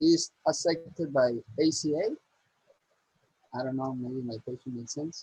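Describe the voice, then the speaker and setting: A somewhat breathy, fairly high-pitched man with a non-native accent and a dark, mellow tone, at a moderate pace with long, frequent pauses, ordinary pitch variation, big swings in loudness and a dry, close sound with no echo. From Costa Rica. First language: Spanish. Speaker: audience member. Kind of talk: Q&A question. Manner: halting.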